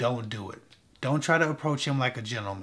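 A man with a bright, sharp tone and ordinary pitch variation. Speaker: dating advice vlogger. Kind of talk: advice commentary to camera. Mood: relaxed, slightly wry. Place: studio.

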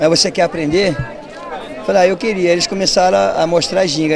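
Against crowd noise in a dry sound with no echo, a man with high pitch talks at a fairly quick pace with ordinary pitch variation. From São Paulo state, Brazil. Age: 50s. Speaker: capoeira master. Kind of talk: interview. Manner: halting. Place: street. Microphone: handheld.

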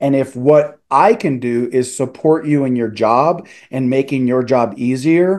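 At medium pitch, a man speaks with a slightly mellow tone and ordinary pitch variation. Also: fairly slow pace.

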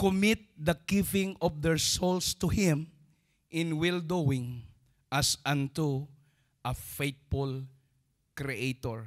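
Very slow speech from a man with a fairly high voice and ordinary pitch variation, against a quiet background. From Philippines. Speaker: preacher. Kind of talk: sermon. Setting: church. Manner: call-and-response, prompting audience to say amen. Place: church. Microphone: handheld.

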